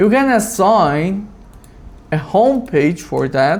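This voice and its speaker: The delivery is very slow. A non-native accent is heard. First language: not English. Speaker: automation tutorial creator. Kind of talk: screen-recorded tutorial. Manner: halting, with fillers.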